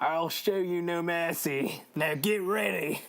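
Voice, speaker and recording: Delivered at a fairly slow pace, this put-on character voice sits at a middle pitch. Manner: challenging, confrontational.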